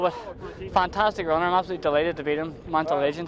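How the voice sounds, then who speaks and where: Very fast speech in a Northern Irish accent, with fairly even intonation and noticeable background noise. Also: man. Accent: Northern Irish (Belfast). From Northern Ireland, Belfast. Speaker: ultramarathon runner. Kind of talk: post-race interview.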